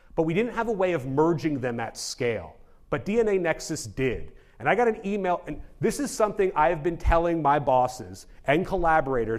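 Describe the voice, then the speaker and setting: The man talks at a fairly quick pace in a fairly high pitch, with very wide pitch swings. Room echo is audible. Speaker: genomics researcher. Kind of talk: conference talk. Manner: fast; casual.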